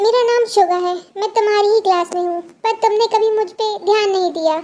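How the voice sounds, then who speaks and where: A put-on character voice at an extremely high pitch, delivered at a fairly quick pace. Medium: read story. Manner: gentle.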